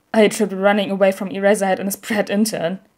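Mumbling at a very fast pace, a woman does a put-on character voice in a flat monotone at a medium pitch. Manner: stammering, mumbling.

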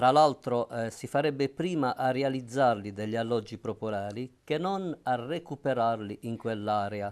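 Pausing hardly at all, a man speaks at a fairly slow pace. His pitch varies in an ordinary way. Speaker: city councillor. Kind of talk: debate answer. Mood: firm, argumentative. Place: studio. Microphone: lapel.

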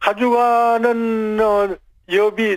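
The man's intonation is flat and monotone. Behind him the background is quiet. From South Korea. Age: 80s+. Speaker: retired Olympic skier. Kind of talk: phone interview answer.

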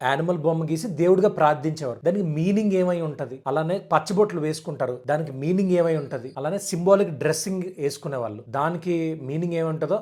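A man with a dark, mellow tone on a very clean recording with a silent background. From Andhra Pradesh, Araku area. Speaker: YouTuber, documentary maker. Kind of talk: explanatory monologue to camera. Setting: seated indoors.

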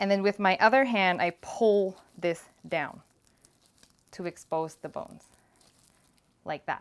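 A woman with a quiet background. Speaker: cooking show host. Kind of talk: tutorial. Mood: cheerful and encouraging. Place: kitchen.

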